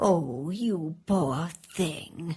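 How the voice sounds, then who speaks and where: A woman performs a cartoonish character voice. Her pitch sits fairly low. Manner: warm, motherly.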